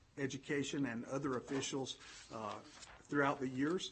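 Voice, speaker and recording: Somewhat breathy, a man with a Southern US accent speaks at a fairly high pitch. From Alabama, US South. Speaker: education consultant, former superintendent. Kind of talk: formal presentation to school board. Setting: board meeting room.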